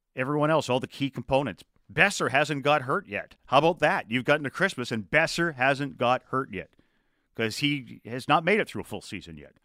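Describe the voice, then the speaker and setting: In a very clean recording with a silent background, a man speaks at a fairly high pitch with lively intonation, a bright, sharp tone and big swings in loudness. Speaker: radio host. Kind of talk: radio sports talk show. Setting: radio studio.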